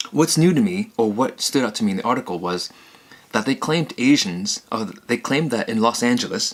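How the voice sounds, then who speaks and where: A man speaks at medium pitch and a fairly quick pace, his voice making very wide pitch swings. Noticeable background noise runs under the recording. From Vietnamese-speaking home, partly raised in Canada. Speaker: vlogger. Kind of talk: casual vlog monologue. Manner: hesitant, many fillers.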